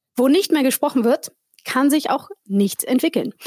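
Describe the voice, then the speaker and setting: Her high-pitched voice carries a dark, mellow tone, a non-native accent and lively intonation at a moderate pace. The woman's sound is dry and close, with no echo. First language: not German (speaking German). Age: 40. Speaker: podcast host. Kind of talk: casual chat.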